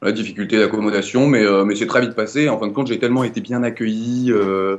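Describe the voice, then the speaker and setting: At a fairly quick pace, a man talks with a fairly low pitch and fairly even intonation. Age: 20s. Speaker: law student, former volunteer teacher abroad. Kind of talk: interview testimony. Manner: hesitant, many fillers and repetitions.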